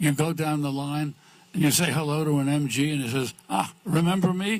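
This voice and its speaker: Somewhat breathy, a man with fairly high pitch speaks at a moderate pace with ordinary pitch variation. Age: 80s+. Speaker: racing figure, grand marshal. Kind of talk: interview.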